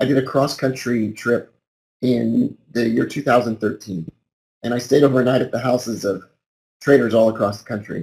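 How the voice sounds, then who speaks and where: With vocal fry and fairly even intonation, a man speaks at a moderate pace and medium pitch, his loudness swinging widely. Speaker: trader and trading educator. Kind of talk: webinar presentation. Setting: online webinar. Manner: casual, informal.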